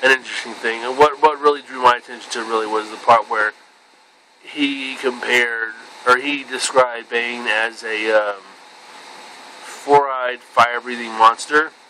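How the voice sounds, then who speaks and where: With big swings in loudness, a man talks at a medium pitch in a monotone, flat intonation, against noticeable background noise. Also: moderate pace. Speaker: vlogger. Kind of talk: casual monologue. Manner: halting.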